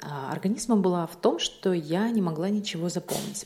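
A woman's unremarkable speaking voice, medium in pitch, at a fairly slow pace. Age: 30s. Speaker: vlogger. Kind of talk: casual monologue.

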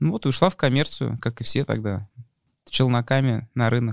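A man with an ordinary speaking voice talks at a medium pitch with fairly even intonation. The sound is dry and close with no echo, in a very clean recording with a silent background. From Moscow, Russia. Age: 30s. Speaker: businessman and media league owner. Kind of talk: casual interview.

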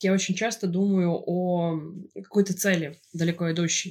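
This is a woman with a normal speaking voice. Her pitch sits fairly low. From Russia, St Petersburg. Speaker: podcast co-host. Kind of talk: casual chat.

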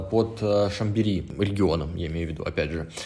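There is audible room echo around a man's voice. His intonation stays fairly even. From Russia, Krasnodar. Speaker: head bartender. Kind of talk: casual chat.

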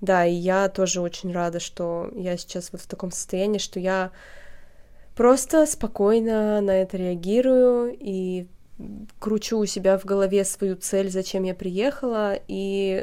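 On a very clean recording with a silent background, a woman talks at a fairly slow pace in a plain, everyday voice with fairly even intonation. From Russia, Perm region small town. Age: 30s. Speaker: podcast host. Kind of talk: casual chat.

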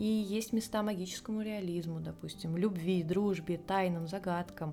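A woman's dark, mellow tone holds fairly even intonation as she talks at a moderate pace. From Russia, Volga region (Tolyatti). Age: 20s. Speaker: book podcast co-host. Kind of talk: casual chat.

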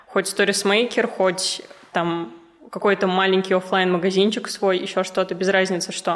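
Her medium-pitched voice stays monotone and flat, with very even loudness and a moderate pace, as the woman speaks over noticeable background noise. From Russia, Ufa (Bashkortostan). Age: 20s. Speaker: business mentor. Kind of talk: casual interview chat.

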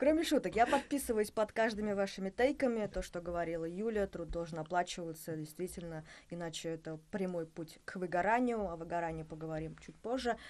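An ordinary speaking voice runs at a fairly quick pace with lively intonation. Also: woman, fairly low pitch for a woman. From Bashkortostan. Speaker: podcast host. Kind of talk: interview conversation. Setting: studio.

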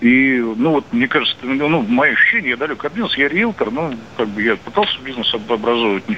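A man speaks very fast at a medium pitch with lively intonation over noticeable background noise. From Moscow, Russia. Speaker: caller, realtor. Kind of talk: phone-in call. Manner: hesitant, many fillers.

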